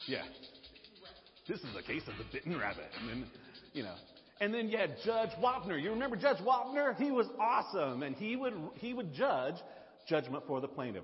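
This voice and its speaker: A Southern US accent with very wide pitch swings and long, frequent pauses, over music in the background. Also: man, high pitch for a man. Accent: Southern drawl. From US South. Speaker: pastor. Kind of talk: sermon. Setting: church.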